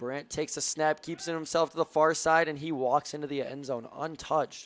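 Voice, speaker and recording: Dry and close with no echo, a man talks at a fairly quick pace. His fairly high voice stays monotone and flat. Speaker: play-by-play sports commentator. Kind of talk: live commentary.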